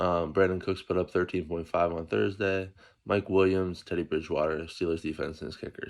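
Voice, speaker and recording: A soft-spoken man with a very deep, low pitch talks at a very fast pace. His pitch varies in an ordinary way, and the background is quiet. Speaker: fantasy football league commissioner. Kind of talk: casual sports preview monologue. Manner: soft-spoken, low volume early morning; casual, filler-heavy.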